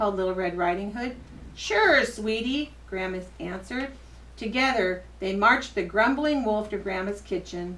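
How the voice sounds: What you hear is a natural reading voice.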